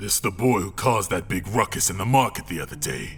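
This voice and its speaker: A raspy, put-on character voice moves at a fairly quick pace with lively intonation over clear background noise. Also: man, fairly low pitch for a man. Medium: audio drama. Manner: stammering, deferential.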